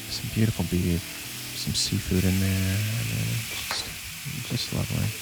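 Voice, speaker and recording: Over noticeable background noise, a man with a very deep, low voice speaks in a relaxed, calm tone at a moderate pace, his pitch swinging very widely. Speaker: home cook. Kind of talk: cooking video narration. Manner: calm, soothing; relaxed, reflective.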